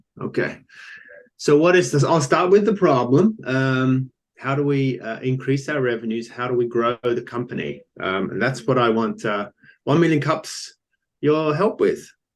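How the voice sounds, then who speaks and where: A man with an Australian accent talks at a moderate pace and a medium pitch. His intonation is lively. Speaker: company founder. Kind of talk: business pitch presentation. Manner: hesitant, many fillers.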